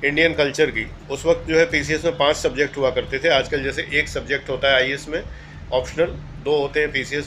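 Over music in the background, a man speaks in a monotone, flat voice that is fairly high in pitch. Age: 60s. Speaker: retired civil servant and exam coach. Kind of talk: monologue lecture to aspirants.

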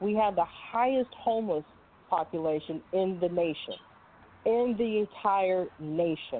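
With an American accent and a plain, everyday voice, a woman speaks at a fairly slow pace in a medium pitch, her loudness very even and her pitch variation ordinary. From California. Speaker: Air Force veteran and congressional candidate. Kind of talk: radio interview. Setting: studio.

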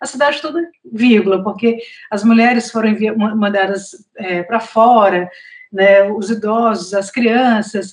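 The woman has a normal speaking voice with a fairly high pitch. She talks at a fairly slow pace with ordinary pitch variation. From Brazil, Northeast (Fortaleza, Ceará). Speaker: journalist and author. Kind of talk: interview.

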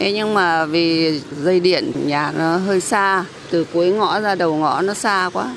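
Noticeable background noise and audible room echo fill the recording. The speaker goes at a fairly slow pace with ordinary pitch variation. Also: woman. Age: 70s. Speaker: street food vendor. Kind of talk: interview soundbite.

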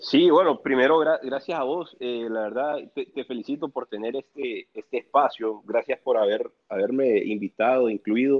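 A man with a plain, everyday voice talks at a moderate pace with hardly any pauses, at medium pitch and with ordinary pitch variation. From El Salvador. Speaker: real estate developer. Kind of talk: casual chat. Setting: remote call from home.

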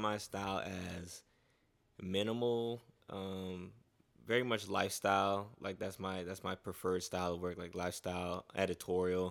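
A very deep, low-pitched man with an American accent, fairly even intonation and a moderate pace, on a very clean recording with a silent background. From South Florida (Fort Lauderdale), Haitian family. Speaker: photographer. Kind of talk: casual interview chat.

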